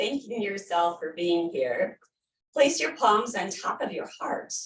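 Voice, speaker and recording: A woman speaks very slowly at a medium pitch, her intonation lively. Her loudness swings widely. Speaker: yoga instructor. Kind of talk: guided yoga class. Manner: calm, gentle.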